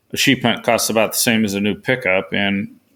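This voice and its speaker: A man with a Pacific Northwest accent and fairly even intonation. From western Oregon, US. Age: 70s. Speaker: author and sheep hunter. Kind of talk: interview. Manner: hesitant with repetitions.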